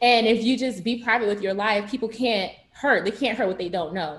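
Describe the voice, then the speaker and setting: A woman with a strong Haitian accent talks at a very fast pace. Her voice is somewhat breathy and fairly high, with ordinary pitch variation. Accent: Haitian Creole accent, heavy. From South Florida, Broward County, Haitian American. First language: Haitian Creole. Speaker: university student, pageant titleholder. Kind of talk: panel discussion. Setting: video call.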